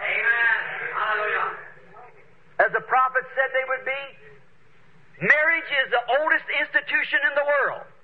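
A man speaks at an extremely high pitch. Light background noise can be heard. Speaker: preacher. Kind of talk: sermon preaching to a congregation. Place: church.

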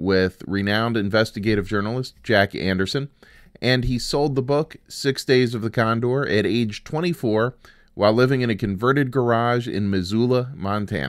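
A man speaks in an ordinary speaking voice at a medium pitch. His pace is moderate and his pitch variation ordinary. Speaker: podcast host. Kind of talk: podcast intro and outro.

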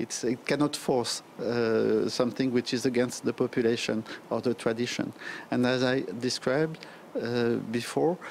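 A man speaks with a French accent at a medium pitch and moderate pace. His intonation is fairly even over light background noise. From France. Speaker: diplomat. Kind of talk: interview. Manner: halting, many fillers. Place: hall. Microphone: handheld.

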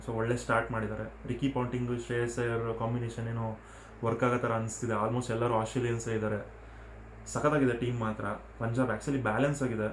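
A man with a Telugu accent, monotone and flat in intonation, with audible room echo. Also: medium pitch for a man. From Karnataka, Telugu-speaking family. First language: Telugu (speaking Kannada). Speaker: YouTuber, cricket commentator. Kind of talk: casual match review vlog. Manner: casual, self-correcting.

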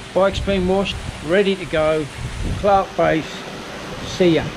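Noticeable background noise sits behind a man speaking at a fairly slow pace in a high voice with fairly even intonation. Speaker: motorcycle vlogger. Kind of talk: casual vlog chat. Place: garden. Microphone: phone near.

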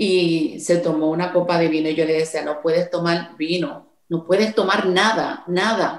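Speaking with a Puerto Rican accent, a woman uses a fairly low pitch and fairly even intonation at a fairly slow pace with hardly any pauses, against a quiet background with audible room echo. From Puerto Rico. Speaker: songwriter; interviewee. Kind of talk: interview. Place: home room. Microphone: video call.

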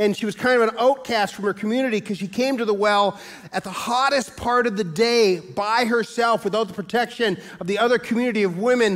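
Over a quiet background, a man with a high pitch and ordinary pitch variation talks at a very fast pace. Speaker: pastor. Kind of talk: sermon. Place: church.

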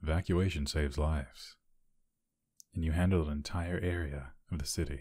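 A man speaks at a very deep, low pitch in a dark, mellow, somewhat breathy tone, at a moderate pace with long, frequent pauses. The recording is very clean, with a silent background. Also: fairly even intonation. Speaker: ASMR voice actor playing a hero character. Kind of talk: whispered ASMR roleplay, scripted scenario as a caring hero. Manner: intimate, low-key, caring bedside tone.

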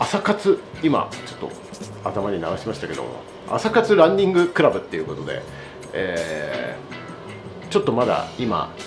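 With faint music in the background, a man speaks at a moderate pace with big swings in loudness. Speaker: vlogger. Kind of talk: casual vlog chat. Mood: relaxed, cheerful. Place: cafe. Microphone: phone near.

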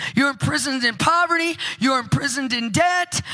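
A woman speaks at a fairly quick pace in a raised, projected voice. Music plays in the background. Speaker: conference preacher. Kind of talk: sermon. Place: church. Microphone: handheld.

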